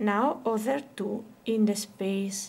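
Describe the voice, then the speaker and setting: A woman with an Italian accent, fairly high pitch, somewhat breathy delivery, fairly even intonation and a very slow pace. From Italy. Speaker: crochet teacher. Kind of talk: tutorial. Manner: slow, counting aloud.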